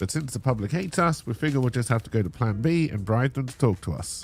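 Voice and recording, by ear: A man talks fast at a medium pitch. His intonation is lively.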